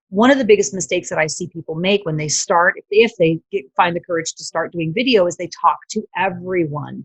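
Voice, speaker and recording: A woman's fairly low, somewhat breathy voice, fairly quick in pace, with ordinary pitch variation and big swings in loudness. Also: hardly any pauses. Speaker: former TV broadcaster and video marketer. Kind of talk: interview.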